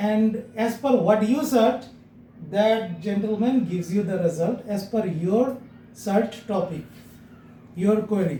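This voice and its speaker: Speaking at a very slow pace with long, frequent pauses, a man with a high pitch and ordinary pitch variation is heard over noticeable background noise and audible room echo. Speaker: SEO agency CEO teaching a class. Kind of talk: lecture.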